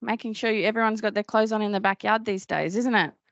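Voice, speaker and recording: A woman with a strong Australian accent speaks in a fairly high voice. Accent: broad Australian. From Australia, Cairns (north Queensland). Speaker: business owner and dietitian. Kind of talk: conference talk. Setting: stage with audience. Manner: casual, chatty.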